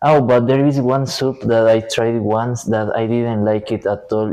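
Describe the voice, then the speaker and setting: With a Spanish accent, a man speaks at a fairly slow pace in a medium pitch, his tone dark and mellow and his intonation monotone and flat. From Ecuador. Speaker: university student. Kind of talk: interview. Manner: hesitant, many fillers.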